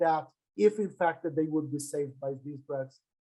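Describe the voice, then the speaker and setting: A man with a Portuguese accent, a dark, mellow tone and ordinary pitch variation, at a moderate pace. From Brazil. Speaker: public health professor. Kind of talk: lecture. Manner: halting.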